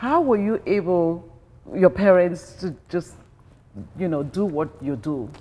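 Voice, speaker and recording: At a fairly slow pace, a woman with fairly low pitch speaks using lively intonation. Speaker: talk show host. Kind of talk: interview. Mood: curious, warm. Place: home room.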